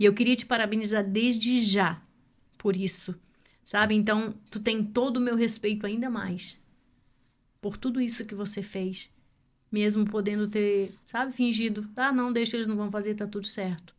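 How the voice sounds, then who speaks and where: A woman talks at a fairly high pitch. Her intonation is monotone and flat. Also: moderate pace. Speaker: podcast host. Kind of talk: podcast interview questions.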